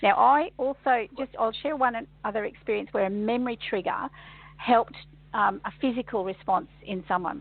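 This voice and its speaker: A normal speaking voice moves at a moderate pace. The intonation is lively. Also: woman, fairly high pitch for a woman. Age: 60s. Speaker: kinesiologist and workshop facilitator. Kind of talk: radio interview.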